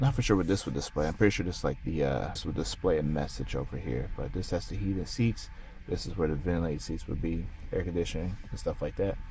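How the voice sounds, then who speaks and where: A quiet man's very deep, low voice, very fast and with lively intonation, amid audible room echo and noticeable background noise. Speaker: car reviewer. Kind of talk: casual vlog review. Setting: car showroom. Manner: quiet, low voice.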